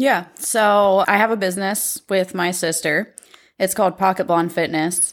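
With a Midwestern American accent, a woman speaks in a fairly even intonation on a very clean recording with a silent background. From Ohio, Pickaway County. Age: 30s. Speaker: recovering addict. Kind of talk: testimony.

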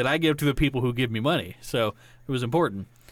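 A man with an American accent and an ordinary speaking voice at a medium pitch, fairly quick pace and ordinary pitch variation, on a very clean recording with a silent background. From Georgia, US. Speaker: podcast co-host. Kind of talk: casual chat.

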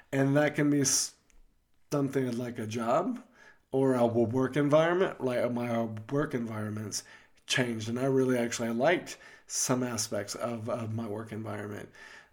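A man's medium-pitched voice at a moderate pace, with fairly even intonation and long, frequent pauses. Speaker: podcast host. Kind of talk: casual conversational podcast.

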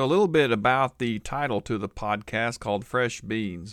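This man talks in an American accent. His voice has a medium pitch. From Oklahoma, Tulsa. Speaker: pastor and podcast host. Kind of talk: casual podcast monologue.

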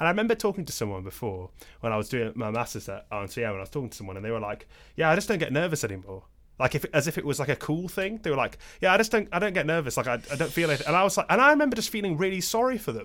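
This man talks at a very fast pace in a fairly high voice with vocal fry and a bright, sharp tone, his pitch swinging very widely. The recording is very clean, with a silent background. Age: young. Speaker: podcast host and musician. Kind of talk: casual interview chat. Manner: halting, filler-heavy.

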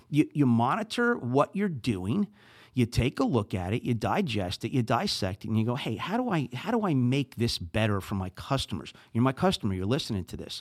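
A man speaks in a New Jersey accent, his pitch swinging very widely. The recording is very clean with a silent background, and the sound is dry and close with no echo. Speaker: podcast host. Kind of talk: solo podcast monologue, casual.

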